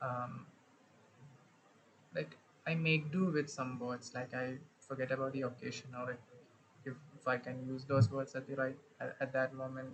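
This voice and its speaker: This man's voice is somewhat breathy and medium in pitch, moving at a moderate pace with monotone, flat intonation. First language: not English. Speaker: solo game dev livestreamer. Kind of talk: casual live vlog monologue. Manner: halting, stammering; frequent filler words. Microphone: echoes from phone.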